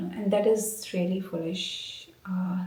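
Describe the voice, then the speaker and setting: A woman whispering, with audible room echo. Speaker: academic vlogger, researcher. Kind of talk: casual vlog talk. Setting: office. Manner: halting, many fillers.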